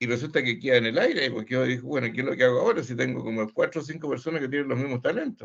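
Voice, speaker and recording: Here a man talks at a very fast pace with hardly any pauses. His pitch is medium and his intonation fairly even. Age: 70s. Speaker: course participant. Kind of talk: casual discussion. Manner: halting.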